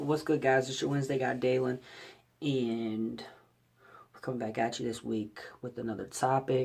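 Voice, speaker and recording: Against noticeable background noise, a man speaks in a monotone, flat intonation with big swings in loudness and long, frequent pauses. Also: medium pitch for a man, moderate pace. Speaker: vlogger. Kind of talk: casual vlog commentary. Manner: hesitant, many fillers.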